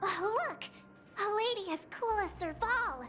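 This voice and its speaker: A woman performs a put-on character voice at an extremely high pitch. She goes at a fairly slow pace over clear music in the background. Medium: video game. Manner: bubbly, excited.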